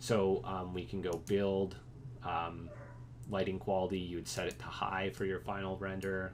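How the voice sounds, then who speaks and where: Very deep and low, a man's voice moves at a moderate pace with ordinary pitch variation. Audible room echo can be heard. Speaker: instructor teaching architecture students software. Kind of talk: lecture. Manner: hesitant, many fillers.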